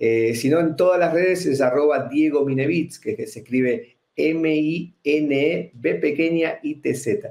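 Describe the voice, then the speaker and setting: A man with an Argentine accent speaks at a very slow pace in a fairly high voice, with ordinary pitch variation and hardly any pauses. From Argentina. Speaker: extreme performer, magician and speaker. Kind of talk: interview.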